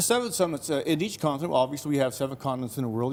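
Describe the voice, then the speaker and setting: This voice has a Canadian accent and ordinary pitch variation. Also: man. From Canada, Fort McMurray, Alberta. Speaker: mountaineer. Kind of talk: TV interview. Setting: TV studio.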